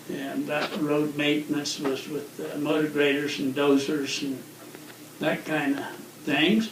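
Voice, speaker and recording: Amid noticeable background noise and audible room echo, a man with an American accent speaks at a fairly slow pace and a fairly high pitch with fairly even intonation. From northwest Colorado, US. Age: 70s. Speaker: retired forest service equipment manager. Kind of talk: oral history interview. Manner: relaxed, conversational.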